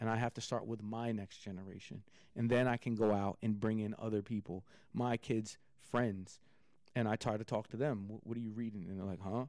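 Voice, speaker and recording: The intonation is monotone and flat. The speech moves at a fairly quick pace. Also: man, fairly low pitch for a man. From Philadelphia area (Villanova), moved from New York at eleven. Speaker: fashion entrepreneur. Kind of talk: casual chat.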